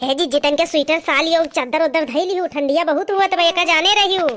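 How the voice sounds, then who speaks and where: A female-sounding cartoonish character voice speaks very fast at an extremely high pitch. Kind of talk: comic rustic dialect chatter. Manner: chatty, quarrelsome.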